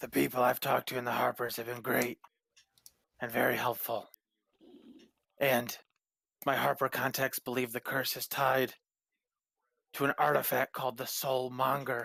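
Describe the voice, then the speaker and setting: Putting on a character voice, a man speaks in a raspy, monotone, flat delivery at medium pitch and a moderate pace, with long, frequent pauses, in a dry, close recording with no echo. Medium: actual play. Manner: earnest and persuasive.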